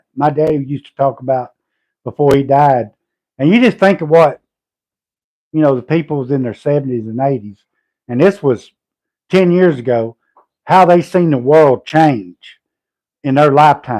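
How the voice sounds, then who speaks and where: With a Southern US accent, a man talks at a fairly high pitch with ordinary pitch variation. His loudness swings widely, and he takes long, frequent pauses. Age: 50s. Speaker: homesteader and logger. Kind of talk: casual livestream chat.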